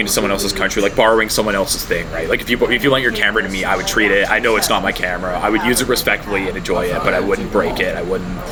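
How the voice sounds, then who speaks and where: A man with a Canadian accent at a very fast pace, hardly any pauses, and noticeable background noise. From Canada. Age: 20s. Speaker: university student. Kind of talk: interview. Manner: hesitant, many fillers.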